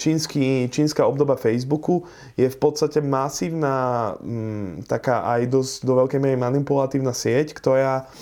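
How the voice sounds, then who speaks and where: A dark, mellow tone at a moderate pace with fairly even intonation, over a quiet background. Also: man, medium pitch for a man. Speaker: car salesman. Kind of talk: casual interview.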